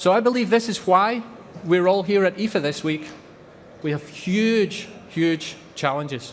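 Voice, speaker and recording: Noticeable background noise sits behind a man with a Scottish accent and a high pitch. He speaks at a fairly slow pace with ordinary pitch variation. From Scotland. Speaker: company representative. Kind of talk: conference presentation.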